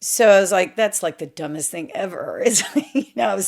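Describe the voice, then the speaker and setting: The voice carries an animated tone. It comes with a Southern US accent. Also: woman. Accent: Southern US, still noticeable. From US South, Memphis, Tennessee. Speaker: former model and actress. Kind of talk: interview storytelling.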